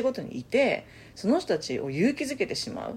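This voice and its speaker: Vocal fry marks this woman's fairly quick speech, which has very wide pitch swings. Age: 30s. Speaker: podcast co-host. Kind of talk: casual chat. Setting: recording in person together.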